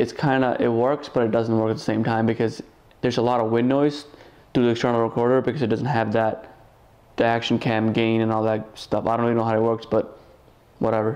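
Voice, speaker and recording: A man talks at a very fast pace in a monotone, flat intonation with very even loudness. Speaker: motovlogger. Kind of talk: casual vlog chat. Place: home room.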